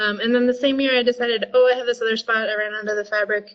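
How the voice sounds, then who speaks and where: A woman's fairly high voice at a very fast pace. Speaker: vegetable grower giving a webinar talk. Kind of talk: online webinar presentation. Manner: animated.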